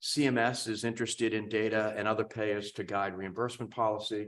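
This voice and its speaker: A man's medium-pitched voice in a very clean recording with a silent background. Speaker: cardiologist, professor of medicine. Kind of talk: conference talk. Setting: symposium stage with audience.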